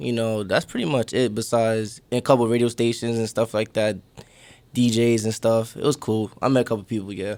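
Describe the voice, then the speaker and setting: Speaking in a New York accent, a man with a medium pitch delivers flat, monotone intonation at a fairly quick pace. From New York City, Brooklyn. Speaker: rapper. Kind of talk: casual interview.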